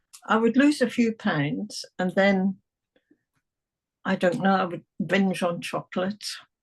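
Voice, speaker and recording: In an English accent, a woman speaks at a medium pitch and a fairly slow pace, somewhat breathy, with long, frequent pauses and a dry, close sound with no echo. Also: ordinary pitch variation. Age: 70s. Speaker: hypnotherapy client. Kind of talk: testimonial interview.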